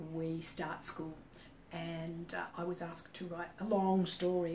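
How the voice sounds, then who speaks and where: With an Australian accent, a woman speaks at a fairly low pitch with fairly even intonation. Noticeable background noise and audible room echo are present. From Australia, Sydney. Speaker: business consultant. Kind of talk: casual monologue. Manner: hesitant, many fillers.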